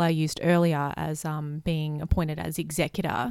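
A woman with an Australian accent speaks at a moderate pace. The recording is very clean, with a silent background. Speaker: marketing manager. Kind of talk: casual chat.

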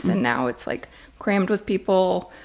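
On a very clean recording with a silent background, a woman with an American accent speaks at a moderate pace with a medium pitch, very wide pitch swings and vocal fry. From Las Vegas, Nevada. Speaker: donut shop owner. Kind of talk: casual interview chat.

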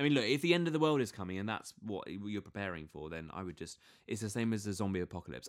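A man with a British accent talks at a very fast pace in a fairly low pitch. His intonation is lively. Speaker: podcast co-host. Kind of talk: casual banter. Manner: playful, silly.

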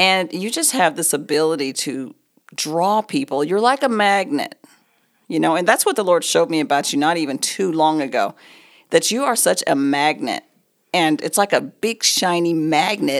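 Very wide pitch swings at a moderate pace, with an American accent. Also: woman, fairly low pitch for a woman. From Oklahoma. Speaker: real estate agent and ministry leader. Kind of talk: casual chat.

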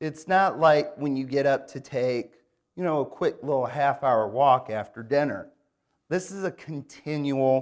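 A man speaks at a fairly slow pace with an Upper Midwest accent. His pitch sits fairly high for a man and moves with ordinary variation. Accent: Upper Midwest American. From Michigan, Grand Rapids. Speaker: guest preacher. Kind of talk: sermon. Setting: church.

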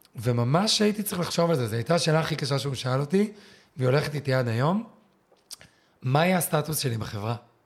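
A man with a fairly high, somewhat breathy voice and lively intonation speaks at a very fast pace, broken by long, frequent pauses. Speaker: former competitive swimmer, tour guide. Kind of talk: interview conversation.

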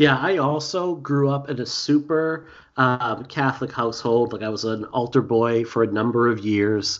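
At a fairly slow pace, a man with a Boston accent speaks at a medium pitch with ordinary pitch variation. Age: 40s. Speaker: podcast host. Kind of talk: casual chat.

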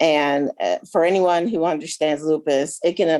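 A woman at a fairly slow pace, her pitch very deep and low. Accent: American. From Buffalo, New York. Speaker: kidney patient and organ donation advocate. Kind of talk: interview.

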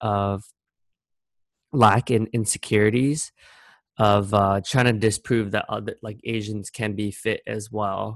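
A man with an American accent talks at a fairly slow pace in a fairly low voice. The recording is very clean with a silent background and a dry, close sound with no echo. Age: 30s. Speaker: blogger. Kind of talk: personal vlog monologue. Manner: casual, hesitant with fillers.

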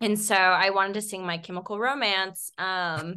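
The woman's pitch sits in the medium range. She speaks at a fairly slow pace. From California Central Valley. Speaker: comedian. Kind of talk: casual chat.

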